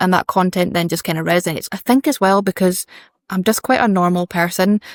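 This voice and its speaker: A woman with a Scottish accent talks at a fairly quick pace, her medium pitch showing ordinary variation. The recording is very clean with a silent background, and the sound is dry and close with no echo. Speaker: fashion brand founder. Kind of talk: casual interview chat.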